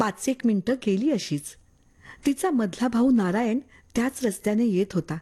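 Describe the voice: With normal pitch movement, the passage is read aloud plainly.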